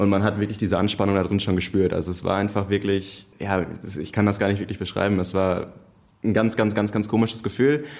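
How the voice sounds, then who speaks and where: In an ordinary speaking voice, a man with a fairly low pitch talks at a fairly quick pace. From Münster, Germany. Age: 20s. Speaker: police trainee. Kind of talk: casual chat.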